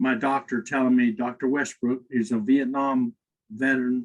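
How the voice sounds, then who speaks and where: An unremarkable speaking voice from a man at medium pitch, with fairly even intonation and a moderate pace, in a dry, close sound with no echo. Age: 60s. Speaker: company executive, podcast guest. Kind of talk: interview conversation.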